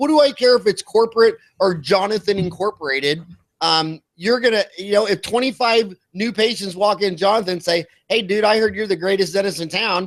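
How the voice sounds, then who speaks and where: Talking at a very fast pace with an American accent, a man with a high pitch uses ordinary pitch variation. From Kansas, US. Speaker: dentist and dental business founder. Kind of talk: podcast interview. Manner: animated.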